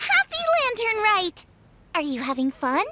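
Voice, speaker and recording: Her voice is a squeaky, put-on character voice pitched extremely high. The delivery moves at a moderate pace. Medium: video game. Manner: upbeat.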